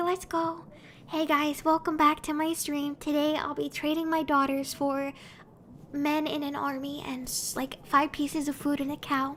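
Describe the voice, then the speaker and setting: A woman whispers at a moderate pace. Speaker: vtuber streamer. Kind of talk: casual live gaming stream. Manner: whispering; animated.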